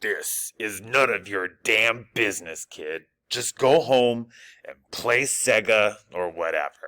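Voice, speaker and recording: Putting on a raspy, gruff character voice, a man talks at a fairly slow pace with a medium pitch and ordinary pitch variation, on a very clean recording with a silent background. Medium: read story. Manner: gruff, streetwise.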